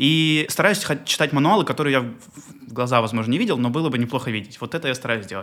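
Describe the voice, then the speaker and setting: A man at a very fast pace with hardly any pauses, medium pitch, and lively intonation. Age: 20s. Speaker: airline pilot and podcast host. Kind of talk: casual interview chat.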